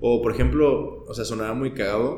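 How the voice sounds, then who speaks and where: In a room with audible echo, a man with a Mexican accent talks at a moderate pace. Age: 20s. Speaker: podcast guest. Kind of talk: casual chat.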